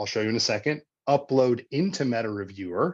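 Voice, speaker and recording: Here is a man with an unremarkable speaking voice, talking at a fairly quick pace. His pitch is medium, with ordinary pitch variation over a quiet background. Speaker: researcher presenting software tool. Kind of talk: webinar software demonstration. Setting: online webinar. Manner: casual with frequent fillers.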